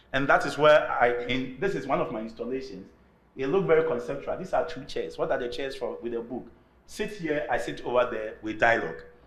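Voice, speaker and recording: Talking at a fairly quick pace, a man is heard with audible echo from the room. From Ghana. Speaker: artist and academic. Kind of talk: lecture.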